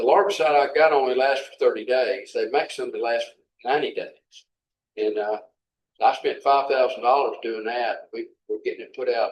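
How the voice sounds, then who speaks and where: A man talks with an Arkansas accent. His pace is moderate. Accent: Southern US (Arkansas). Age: 70s. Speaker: city official. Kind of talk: workshop Q&A discussion. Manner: halting, many repetitions.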